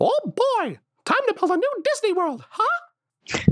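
A man puts on a character voice pitched extremely high. He speaks at a fairly slow pace. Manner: cheerful.

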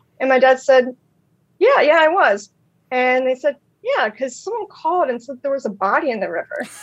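With an American accent, a woman speaks in a high pitch and lively intonation. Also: fairly quick pace. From Maryland Eastern Shore. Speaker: social media personality. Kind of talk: casual chat.

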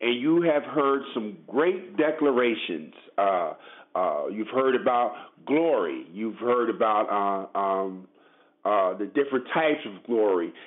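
A man with an American accent, very slow, at a medium pitch with lively intonation. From Brooklyn, New York City. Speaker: lay preacher. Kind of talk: sermon. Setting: phone call.

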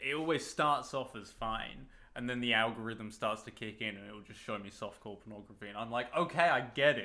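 A man with a British accent, medium pitch, a bright, sharp tone, ordinary pitch variation, and a moderate pace. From Britain. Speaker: podcast co-host. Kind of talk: casual chat.

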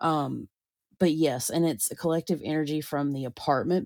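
A woman with a Southern US accent speaks at a moderate pace, her very deep, low pitch showing ordinary variation and a dark, mellow tone. The recording is very clean, with a silent background. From US South. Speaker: podcast host and psychic medium. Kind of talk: casual chat.

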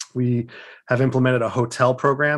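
In a very clean recording over a silent background, a man talks with an American accent. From West Africa, then Pennsylvania. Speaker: nonprofit CEO. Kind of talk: interview. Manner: hesitant, many fillers.

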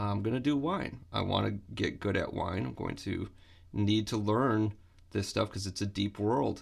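With an American accent and an unremarkable speaking voice, a man speaks fairly slowly at a fairly low pitch with ordinary pitch variation in a very clean recording with a silent background. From Michigan, US Midwest. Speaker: guitar professor. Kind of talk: interview.

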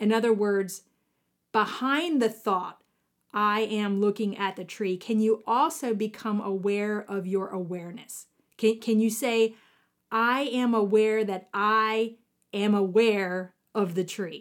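On a very clean recording with a silent background, a woman with a normal speaking voice and an American accent talks at a fairly slow pace, her pitch fairly high and her intonation fairly even. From US South, southwestern Virginia (Appalachia). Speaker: podcast host, spiritual teacher. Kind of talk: reflective spiritual monologue.

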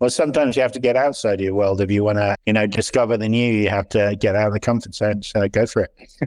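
Over a quiet background, a man with a British accent and a fairly low pitch speaks at a very fast pace with fairly even intonation, the sound dry and close with no echo. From Britain. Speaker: startup founder and CEO. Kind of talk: interview.

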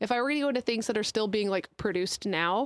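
With a plain, everyday voice and a fairly high pitch, a woman is heard on a very clean recording with a silent background and a dry, close sound with no echo. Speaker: podcast co-host, parent. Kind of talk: casual chat.

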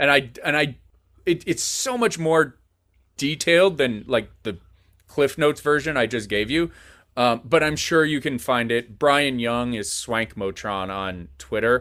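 With an American accent, a man speaks at a fairly slow pace in a bright, sharp tone, his intonation lively. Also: medium pitch for a man. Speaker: film director and bar owner. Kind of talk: casual interview chat. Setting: video call.

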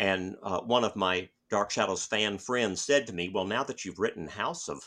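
A man's fairly low voice with a bright, sharp tone at a moderate pace, against a quiet background. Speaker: author and retired college professor. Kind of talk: interview. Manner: halting, with many fillers and repetitions.

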